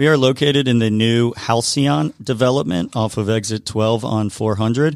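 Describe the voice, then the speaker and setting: In a very clean recording with a silent background, a man with an American accent uses an ordinary speaking voice at medium pitch, talking at a moderate pace with hardly any pauses, ordinary pitch variation and very even loudness. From US South, Atlanta area. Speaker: brewery owner. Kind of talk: radio interview. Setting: studio.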